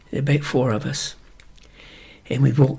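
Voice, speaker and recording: A man with a West Country accent speaks at a fairly slow pace. His voice is somewhat breathy and medium in pitch. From Wiltshire, England. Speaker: retired ploughing champion. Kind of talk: interview answer.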